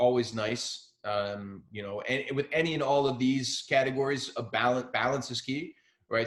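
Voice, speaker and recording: A man speaks with an American accent at a medium pitch and a moderate pace. He has a normal speaking voice with ordinary pitch variation. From central New Jersey. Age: 30s. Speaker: mental health speaker. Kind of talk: talk to students. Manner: casual, filler-heavy.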